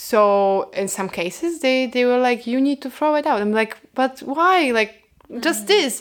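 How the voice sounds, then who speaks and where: A high-pitched woman with a Polish accent, at a fairly slow pace, with hardly any pauses. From Poland. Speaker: food-sharing project co-founder. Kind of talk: interview.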